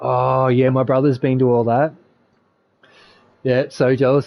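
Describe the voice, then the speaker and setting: This man has an Australian accent. His pitch sits at a medium level. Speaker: gaming streamer. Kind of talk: casual chat. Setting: live stream voice chat. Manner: talkative.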